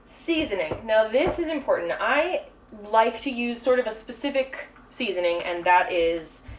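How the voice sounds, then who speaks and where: The pitch swings very widely. There is noticeable noise in the background. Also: woman, fairly high pitch for a woman. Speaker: baker hosting a cooking stream. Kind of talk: live cooking tutorial. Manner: fast; casual with many fillers.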